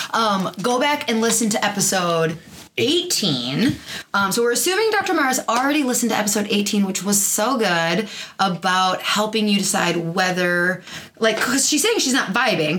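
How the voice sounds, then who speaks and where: Noticeable background noise sits behind a woman speaking with lively intonation. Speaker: chiropractor and podcast host. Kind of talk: casual chat. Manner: loud.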